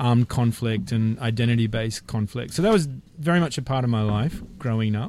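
A man with an Australian accent, medium pitch, ordinary pitch variation and a fairly quick pace. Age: 50s. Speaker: peace process worker. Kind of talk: casual chat. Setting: studio.

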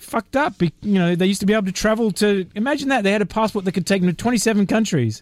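A man's high-pitched voice with an Australian accent at a very fast pace, with hardly any pauses and ordinary pitch variation. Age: 50s. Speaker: peace process worker. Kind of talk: casual chat. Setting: studio.

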